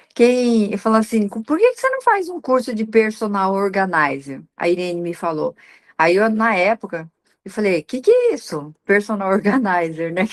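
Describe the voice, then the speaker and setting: A woman's normal speaking voice at medium pitch, with lively intonation, big swings in loudness and a moderate pace. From Paraná, Brazil (Assaí). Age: 60s. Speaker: professional organizer. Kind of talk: interview testimony.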